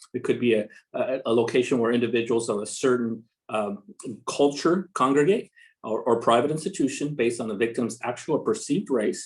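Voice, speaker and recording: A man of medium pitch talks with a Spanish accent. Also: ordinary pitch variation, fairly quick pace. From Mexico, moved to Los Angeles at six. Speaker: police commander. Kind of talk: public safety webinar presentation. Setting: video call webinar. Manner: halting, many fillers.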